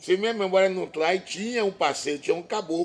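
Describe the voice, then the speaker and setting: A man speaks with ordinary pitch variation. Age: 60s. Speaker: band master. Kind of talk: interview.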